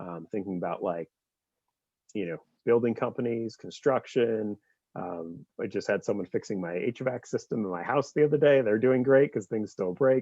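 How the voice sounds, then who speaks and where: Lively intonation from a man with a medium-pitched voice. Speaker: nonprofit fundraising staff organizer. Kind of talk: meeting presentation. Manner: fast.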